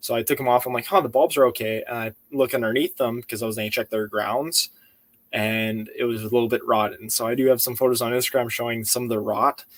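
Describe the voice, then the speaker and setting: A man's medium-pitched voice rushes along at a very fast clip. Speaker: car restoration youtuber. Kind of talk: live stream chat. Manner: animated. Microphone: webcam.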